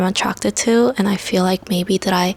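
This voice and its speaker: Through noticeable background noise, a woman speaks at a medium pitch and moderate pace with fairly even intonation. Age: 20s. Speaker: lifestyle vlogger. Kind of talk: casual chat. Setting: at home. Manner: casual, filler-heavy.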